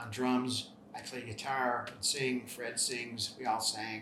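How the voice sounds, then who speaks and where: With an American accent, a man speaks at a fairly slow pace in a monotone, flat delivery. Audible room echo and noticeable background noise surround him. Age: 60s. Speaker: rock musician. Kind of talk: interview monologue. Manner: hesitant, many fillers.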